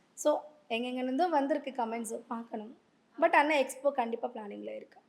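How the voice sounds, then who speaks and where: A woman's high-pitched voice shows ordinary pitch variation but big swings in loudness. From Andhra Pradesh. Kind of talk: interview answer.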